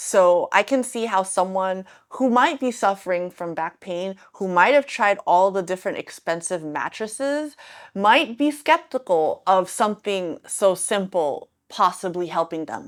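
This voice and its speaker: A woman speaks at medium pitch with an animated tone and lively intonation. Her pace is fairly slow, and the recording is very clean with a silent background. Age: 40s. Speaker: lifestyle vlogger. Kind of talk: casual vlog talk to camera.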